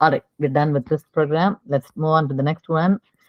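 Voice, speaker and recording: Very deep, low female voice with fairly even intonation. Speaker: programming teacher. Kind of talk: online coding class review.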